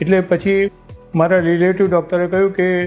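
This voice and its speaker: Over music in the background, a man speaks at a high pitch with fairly even intonation. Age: 60s. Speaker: surgery patient. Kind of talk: patient testimonial.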